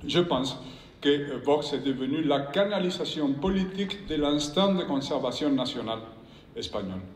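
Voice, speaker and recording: With noticeable background noise and audible room echo, a man with a fairly high pitch speaks at a fairly slow pace with lively intonation. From Spain. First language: Spanish (speaking French). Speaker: professor and former politician. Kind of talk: conference speech. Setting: stage with audience. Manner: reading from prepared text; halting, with repetitions.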